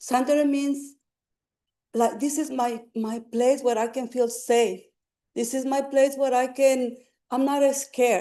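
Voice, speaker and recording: A woman's high-pitched voice with a dark, mellow tone, a non-native accent, monotone, flat intonation and long, frequent pauses. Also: fairly slow pace. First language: Spanish. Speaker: public commenter, community health worker. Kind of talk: public testimony. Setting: city council meeting. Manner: halting.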